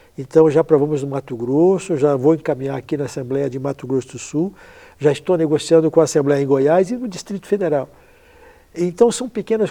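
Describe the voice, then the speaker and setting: A man talks at a fairly quick pace in a normal speaking voice. His pitch is fairly high with ordinary variation, against a quiet background. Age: 60s. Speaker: blood donation charity founder, transplant athlete. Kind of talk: interview.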